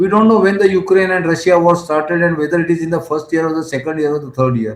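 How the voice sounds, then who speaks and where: A man talks at a very fast pace with a fairly high pitch and ordinary pitch variation. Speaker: development economist and speaker. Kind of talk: conference talk. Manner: halting with fillers.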